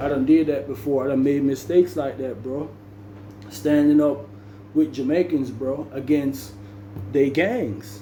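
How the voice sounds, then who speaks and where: Amid noticeable background noise, a man with a medium pitch speaks at a fairly slow pace. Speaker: storyteller, former prisoner. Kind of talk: casual storytelling monologue. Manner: animated, acts out dialogue.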